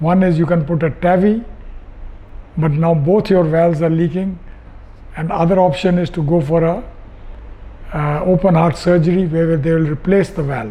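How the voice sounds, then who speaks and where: Fairly even intonation runs through speech at a moderate pace. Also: man. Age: 80s+. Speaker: patient, retired sea captain. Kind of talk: testimony. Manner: halting.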